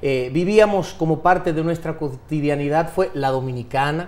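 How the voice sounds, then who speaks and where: A man's fairly slow delivery keeps his intonation fairly even. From United States (Miami), Dominican family. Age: 40s. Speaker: politician, dictator's grandson. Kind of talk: TV interview. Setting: TV studio.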